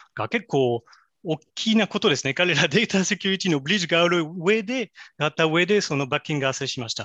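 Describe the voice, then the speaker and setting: In a French accent, a man talks at a fairly quick pace in a high-pitched, bright, sharp voice with lively intonation, recorded with a dry, close sound, no echo and a quiet background. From France. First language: French (speaking Japanese). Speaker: AI specialist. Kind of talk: interview. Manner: halting.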